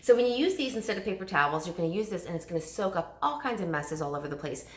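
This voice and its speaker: An animated woman's voice at medium pitch, bright and sharp in tone, with audible room echo. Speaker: direct sales consultant. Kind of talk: sales pitch. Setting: recorded video at home. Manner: fast.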